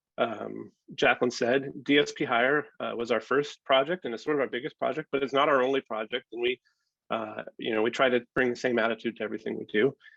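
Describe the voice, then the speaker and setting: Using vocal fry, a man talks at a very fast pace in a medium pitch with fairly even intonation. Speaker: software founder and app developer. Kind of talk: presentation to stakeholders. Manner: hesitant, many filler words.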